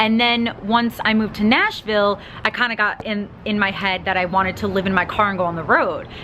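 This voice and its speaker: Over noticeable background noise, a woman with a Long Island accent talks at a fairly quick pace in a fairly even intonation. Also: medium pitch for a woman. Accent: New York (Long Island). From Long Island, New York. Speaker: vlogger. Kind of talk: personal Q&A vlog. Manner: fast; casual, filler-heavy.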